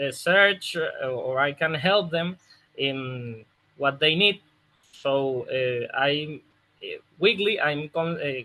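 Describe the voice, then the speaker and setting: A man's fairly high-pitched voice with a Spanish accent, ordinary pitch variation, a very slow pace and long, frequent pauses. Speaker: football opposition analyst. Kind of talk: interview answer. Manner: hesitant, many fillers.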